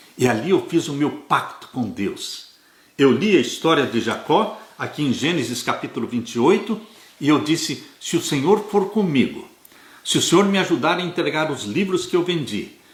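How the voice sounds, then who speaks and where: Lively intonation and a high pitch mark this man's speech, delivered at a moderate pace. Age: 70s. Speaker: Adventist Bible teacher. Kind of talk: Bible study lesson. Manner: earnest, exhortative.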